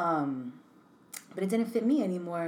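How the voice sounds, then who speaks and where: A woman with an American accent talks at medium pitch and a moderate pace. Audible room echo surrounds her voice. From New York City (Bronx), then Connecticut. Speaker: designer and artist, business owner. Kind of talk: casual chat.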